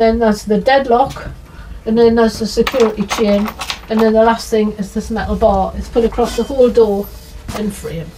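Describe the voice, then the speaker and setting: A woman's fairly high voice at a moderate pace, monotone and flat, with noticeable background noise. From northern England, Northumberland. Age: 60s. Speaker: interviewee with visual impairment. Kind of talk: testimony. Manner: halting.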